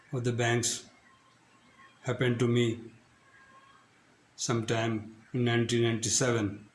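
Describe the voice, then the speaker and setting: A man's monotone, flat speech at a medium pitch and a fairly slow pace, with noticeable background noise. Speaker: retired banker. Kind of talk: casual talk to camera.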